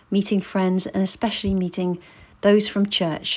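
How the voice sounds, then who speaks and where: At a moderate pace, a woman speaks in a plain, everyday voice of medium pitch. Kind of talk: casual interview questions.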